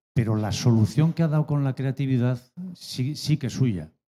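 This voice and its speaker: Over a quiet background, a man speaks at a moderate pace with a dark, mellow tone. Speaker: audience member. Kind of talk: audience question. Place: hall. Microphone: handheld.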